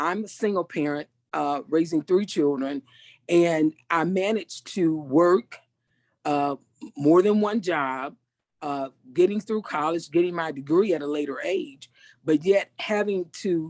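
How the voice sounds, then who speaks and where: A woman with an unremarkable speaking voice talks at a fairly low pitch and fairly slow pace. Her pitch varies in an ordinary way, and the sound is dry and close with no echo. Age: 60s. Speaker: participant, single parent. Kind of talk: group discussion.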